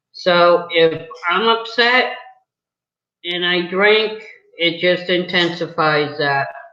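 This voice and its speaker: Slowly, with long, frequent pauses, a woman with an American accent speaks in a fairly low, bright, sharp voice with ordinary pitch variation, and audible room echo comes through. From New England, US. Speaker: video interviewer, mother. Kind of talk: casual chat.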